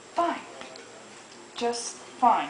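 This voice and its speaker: A woman does a put-on character voice, pitched high. There is slight echo and clear background noise. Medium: solo performance.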